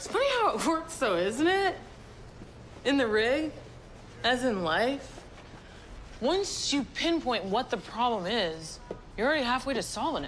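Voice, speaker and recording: A woman's high voice with very wide pitch swings, at a fairly slow pace with long, frequent pauses, over music in the background. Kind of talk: scripted drama dialogue. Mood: upbeat, teasing, curious. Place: garage.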